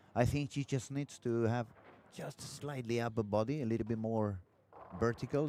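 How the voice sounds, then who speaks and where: A man speaks at a fairly quick pace in a medium pitch, his dark, mellow tone relaxed, with ordinary pitch variation and a dry, close sound free of echo. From Catalonia, Spain. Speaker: bowling commentator. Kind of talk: live commentary. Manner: relaxed conversational.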